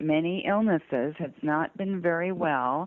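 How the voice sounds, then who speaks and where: In an American accent, a woman speaks at a very deep, low pitch. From US South (Georgia, North Carolina). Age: 60s. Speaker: sculptor and abduction experiencer. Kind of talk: interview storytelling.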